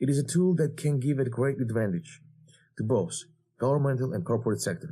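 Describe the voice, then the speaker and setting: In a very clean recording with a silent background, a man speaks very fast at a medium pitch, his dark, mellow, somewhat breathy voice carrying lively intonation. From Georgia. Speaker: cyber security instructor. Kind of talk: lecture.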